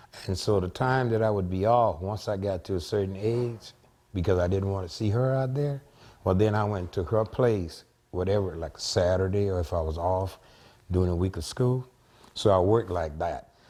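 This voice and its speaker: A man with a South Louisiana accent speaks at a moderate pace and a fairly low pitch in a dark, mellow tone, with ordinary pitch variation, on a very clean recording with a silent background. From Louisiana, Vacherie area. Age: 60s. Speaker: former plantation resident. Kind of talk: interview.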